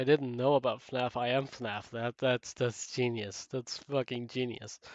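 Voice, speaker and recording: A man's flat, monotone voice at medium pitch with a dry, close sound and no echo. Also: fairly slow pace. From Denmark. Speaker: gaming streamer. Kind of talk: live stream chat. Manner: halting.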